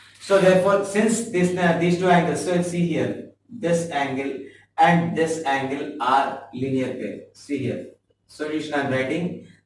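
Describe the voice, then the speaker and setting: Audible room echo around a fairly high male voice, fairly slow, with ordinary pitch variation. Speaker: math teacher. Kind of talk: tutorial. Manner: halting.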